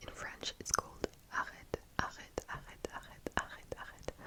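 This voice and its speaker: A relaxed, whispered delivery at a fairly slow pace, with noticeable background noise. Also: woman. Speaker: ASMR talking creator. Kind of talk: ASMR whispered ramble, reading questions and answering. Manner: soft, relaxed, hesitant with filler words and non-native English.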